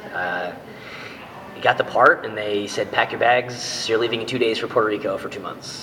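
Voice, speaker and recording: A man with an American accent, fairly quick in pace, with long, frequent pauses, big swings in loudness and light background noise. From Massachusetts. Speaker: actor. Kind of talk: interview. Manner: hesitant, many fillers. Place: office. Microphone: webcam.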